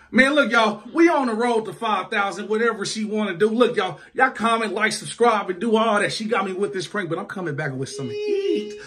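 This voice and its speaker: A man speaks at a fairly quick pace with hardly any pauses. His pitch is high. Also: ordinary pitch variation. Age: 20s. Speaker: YouTube couple vlogger. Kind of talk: prank video banter; channel outro to viewers. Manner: animated. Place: home room. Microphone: phone near.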